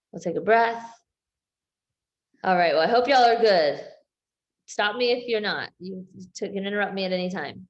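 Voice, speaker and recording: The loudness rises and falls sharply, with long, frequent pauses and an audible echo from the room. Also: woman, medium pitch for a woman, ordinary pitch variation, moderate pace. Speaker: health coach. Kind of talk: group coaching session on video call.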